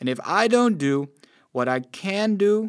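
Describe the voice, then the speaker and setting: Speaking very slowly with very wide pitch swings, this voice comes through on a very clean recording against a silent background. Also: man. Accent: Dutch. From Netherlands. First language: Dutch. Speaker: preacher. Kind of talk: sermon.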